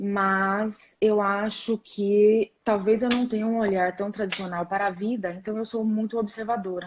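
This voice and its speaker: With a São Paulo accent, a woman speaks at a fairly slow pace in a medium-pitched, somewhat breathy voice, her intonation monotone and flat, with hardly any pauses. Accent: São Paulo accent, noticeable. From São Paulo state, Brazil. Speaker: rheumatologist. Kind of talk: live-stream interview. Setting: live stream on social media.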